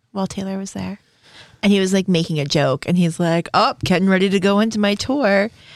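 This is a plain, everyday voice. It moves at a fairly quick pace with ordinary pitch variation. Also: woman, medium pitch for a woman. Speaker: podcast host. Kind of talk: casual banter.

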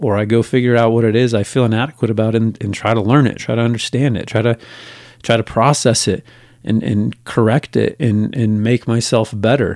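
Over a very clean recording with a silent background, a man talks fairly quickly in an unremarkable speaking voice, medium in pitch with fairly even intonation. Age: 40s. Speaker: podcast host. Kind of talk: solo podcast monologue. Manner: casual with many filler words.

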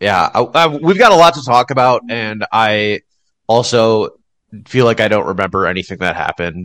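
In a dry, close recording with no echo, a man of medium pitch speaks at a moderate pace with lively intonation. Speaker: podcast host. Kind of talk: casual chat. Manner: animated.

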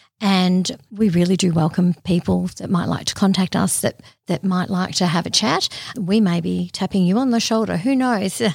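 Heard in a very clean recording with a silent background, a woman speaks with an Australian accent. Her voice is somewhat breathy, with ordinary pitch variation. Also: medium pitch for a woman, moderate pace. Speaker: podcast host. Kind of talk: podcast interview. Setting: studio.

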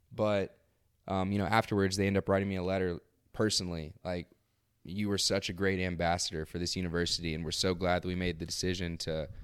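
Fairly even intonation at a fairly quick pace, broken by long, frequent pauses. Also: man. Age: 30s. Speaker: former investment trader. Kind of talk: casual interview. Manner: articulate.

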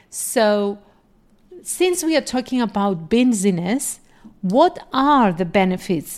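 A woman speaks with a Greek accent at a medium pitch. Her pace is fairly slow. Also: very clean recording, silent background. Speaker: podcast host and life coach. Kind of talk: solo podcast monologue.

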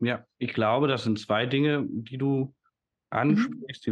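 At a moderate pace, a man talks in an ordinary speaking voice at a medium pitch with ordinary pitch variation. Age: 30s. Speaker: educator and systemic coach. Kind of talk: casual interview conversation.

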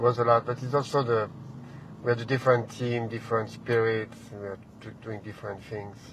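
Delivered at a fairly quick pace with a French accent, the speech has monotone, flat intonation and big swings in loudness. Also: man, medium pitch for a man. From France. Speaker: restaurant owner and chef. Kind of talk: casual chat. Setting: in a car.

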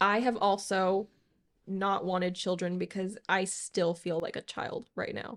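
Her intonation monotone and flat, a woman speaks fairly slowly at a medium pitch on a very clean recording with a silent background. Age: 20s. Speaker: podcast co-host, engaged partner. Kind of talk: casual chat.

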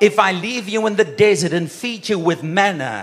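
The words come at a fairly slow pace while noticeable background noise runs underneath. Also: man. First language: not English. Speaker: guest preacher. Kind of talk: sermon. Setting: church. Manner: animated.

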